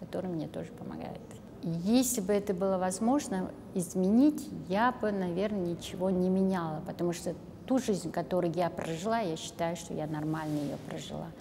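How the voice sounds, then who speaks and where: A woman's voice shows ordinary pitch variation amid noticeable background noise. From Kazakhstan. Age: 60s. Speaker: volunteer and math teacher; math teacher. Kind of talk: interview monologue. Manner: halting. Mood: warm, reflective. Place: studio.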